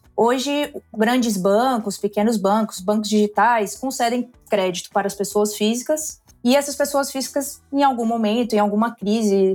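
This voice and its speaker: With music playing in the background, a woman speaks at a moderate pace in a fairly high pitch with ordinary pitch variation. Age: 30s. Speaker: finance executive. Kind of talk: podcast interview.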